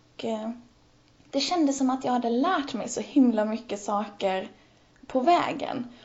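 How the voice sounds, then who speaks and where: At a fairly slow pace, a high-voiced woman speaks with ordinary pitch variation against noticeable background noise. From Helsingborg, southern Sweden. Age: 20s. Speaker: blogger. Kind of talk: interview conversation. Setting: Skype call.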